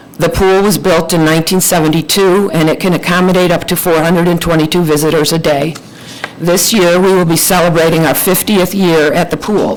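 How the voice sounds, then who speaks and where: Noticeable background noise beneath a fairly even intonation. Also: woman. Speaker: township trustee. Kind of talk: formal presentation at public meeting. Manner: hesitant, many fillers.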